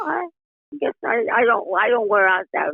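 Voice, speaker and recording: This speaker has an American accent and very wide pitch swings. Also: woman. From US Midwest, Ohio. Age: 80s+. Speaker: podcast guest, host's grandmother. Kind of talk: casual chat. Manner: halting.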